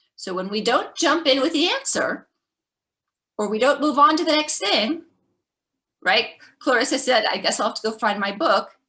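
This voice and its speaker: Raised and projected, the voice has a bright, sharp tone and lively intonation, moving at a moderate pace with long, frequent pauses. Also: woman, high pitch for a woman. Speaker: parenting educator, former teacher. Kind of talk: webinar presentation.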